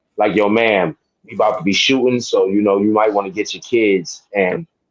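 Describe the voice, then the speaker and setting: A man with a New York accent speaks at a moderate pace in a fairly low voice. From New York, Harlem. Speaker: sports podcast co-host. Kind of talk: casual chat.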